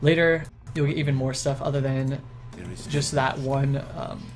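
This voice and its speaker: A man speaks in a fairly high voice with monotone, flat intonation. Music plays in the background, and the room echo is audible. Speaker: gaming commentator. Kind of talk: gameplay commentary tutorial. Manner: fast.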